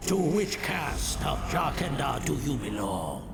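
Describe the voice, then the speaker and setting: A man puts on a character voice at a fairly slow pace. Loud background noise sits behind him. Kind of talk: solemn archaic speech. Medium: video game. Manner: formal, grave.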